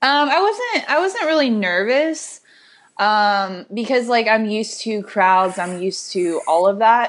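A woman with a plain, everyday voice speaks at a fairly slow pace with lively intonation. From Illinois. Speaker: fitness coach. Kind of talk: casual chat.

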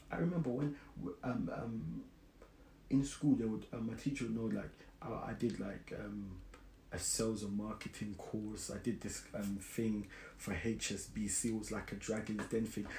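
In a London accent, a man speaks with a fairly low pitch, a dark, mellow tone, a somewhat breathy quality and ordinary pitch variation. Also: moderate pace. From South London. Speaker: podcast host. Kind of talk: casual solo podcast monologue.

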